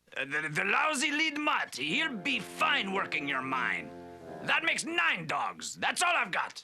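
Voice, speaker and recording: A man performs a put-on character voice at a moderate pace. Faint music plays in the background. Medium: short film. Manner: nervous, stammering.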